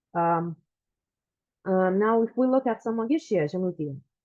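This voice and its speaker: A woman with a Lithuanian accent talks at a moderate pace and a medium pitch. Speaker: genealogy researcher and lecturer. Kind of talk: lecture. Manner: halting, many fillers.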